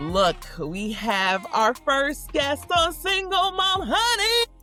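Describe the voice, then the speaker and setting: Music plays behind a woman whose voice is high, raised and projected. She speaks at a very slow pace with very wide pitch swings. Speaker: podcast co-host. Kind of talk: podcast intro and casual conversation.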